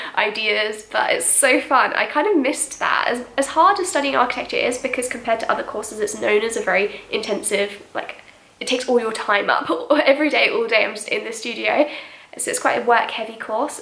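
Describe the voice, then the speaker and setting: The speech moves at a fairly quick pace with ordinary pitch variation. There is audible room echo. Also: woman, high pitch for a woman. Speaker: vlogger. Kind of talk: casual vlog chat. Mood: cheerful, laughs often. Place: home room.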